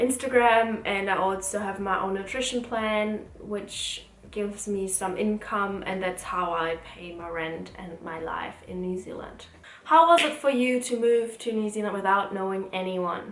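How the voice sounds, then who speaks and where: A woman with a German accent, medium pitch, ordinary pitch variation and a fairly slow pace, plus noticeable background noise and audible room echo. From Germany. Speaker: student and vlogger. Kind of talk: casual Q&A vlog.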